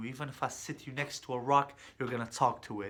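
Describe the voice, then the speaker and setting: Speaking fairly quickly with a Kurdish accent, a man at medium pitch has a bright, sharp tone and monotone, flat intonation. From Kurdistan, moved to US at age 8. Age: 20s. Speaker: social media comedian. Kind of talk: presentation speech. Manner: hesitant with fillers.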